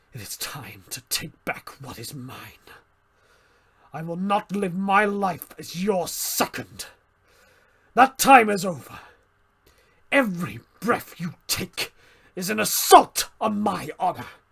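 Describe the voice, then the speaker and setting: In a gravelly, high put-on character voice, a man talks at a fairly slow pace with long, frequent pauses. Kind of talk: dramatic monologue performance. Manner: intense, dramatic.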